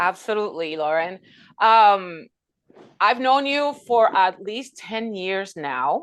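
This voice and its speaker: The speech moves at a very slow pace with very wide pitch swings over a quiet background. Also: woman, medium pitch for a woman. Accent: Spanish. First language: Spanish. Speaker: podcast host. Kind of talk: interview.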